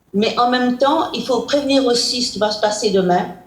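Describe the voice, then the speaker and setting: Her voice is high in pitch with ordinary pitch variation, and the woman speaks at a fairly slow pace. Audible room echo surrounds it. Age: 90s. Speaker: president of a domestic violence charity. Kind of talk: interview. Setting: video call. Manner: hesitant.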